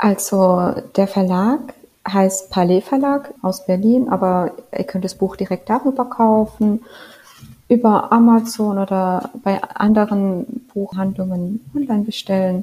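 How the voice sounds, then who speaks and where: A woman speaks at a very slow pace with a somewhat breathy voice. Her pitch is medium, with ordinary pitch variation. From rural Germany. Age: 20s. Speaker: novelist. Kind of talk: interview.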